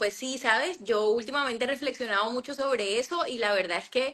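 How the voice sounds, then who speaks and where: The intonation is lively. The pace is moderate. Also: woman. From Colombian Caribbean coast, Cartagena. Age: 40s. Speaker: journalist and author. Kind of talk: interview. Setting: Instagram live stream. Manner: hesitant, many fillers.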